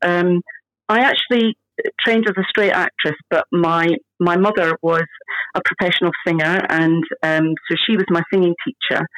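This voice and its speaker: A woman with a Scottish accent talks at a fairly low pitch and a moderate pace, with ordinary pitch variation. The sound is dry and close with no echo, and her loudness stays very even. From Scotland. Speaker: stage actress. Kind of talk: casual interview chat.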